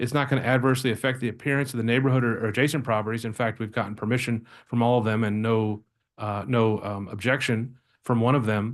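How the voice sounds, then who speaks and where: A man talks at a very fast pace in a medium pitch, his intonation monotone and flat. The background is quiet. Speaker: attorney representing applicants. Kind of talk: public hearing presentation.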